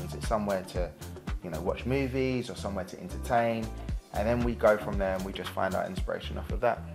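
A fairly quick pace over clear music in the background. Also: man. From London. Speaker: property developer and DIY expert. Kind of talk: presenter showreel, talk to camera. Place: home room.

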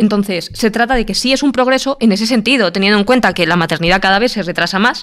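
Talking very fast with hardly any pauses, a woman uses a fairly high voice. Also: ordinary pitch variation. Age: 30s. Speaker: train driver and YouTuber. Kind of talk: debate panel discussion.

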